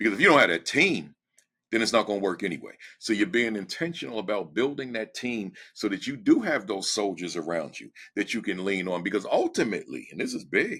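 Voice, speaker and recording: The recording is very clean, with a silent background. A man talks in an animated tone at a fairly quick pace. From New Jersey. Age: 60s. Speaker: education speaker and former principal. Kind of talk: podcast interview. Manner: direct.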